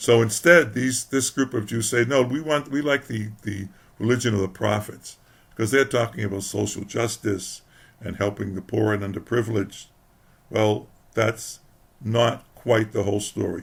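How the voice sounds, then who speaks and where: This man's voice is somewhat breathy and medium in pitch. His pace is moderate, with ordinary pitch variation. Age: old. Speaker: historian. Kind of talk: religious talk to camera. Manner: hesitant, halting.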